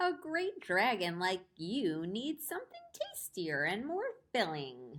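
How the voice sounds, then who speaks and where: In a put-on character voice, a woman talks at a fairly slow pace and a fairly high pitch. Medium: read story.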